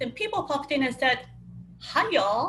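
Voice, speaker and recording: Speaking with a slight Japanese accent, a woman uses a high pitch and lively intonation. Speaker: cross-cultural communication speaker. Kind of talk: webinar talk.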